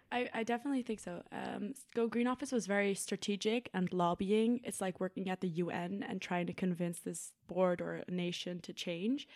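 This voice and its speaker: Speaking with a Dutch accent, a woman with a medium-pitched voice keeps a moderate pace, ordinary pitch variation and hardly any pauses. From Netherlands, Haarlem. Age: 20s. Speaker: university student, sustainability officer. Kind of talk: casual chat.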